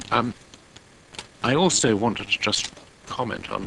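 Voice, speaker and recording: The sound is dry and close with no echo as a man speaks at a moderate pace with very wide pitch swings over noticeable background noise. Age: 70s. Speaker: local councillor. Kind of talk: council meeting debate. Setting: council committee meeting.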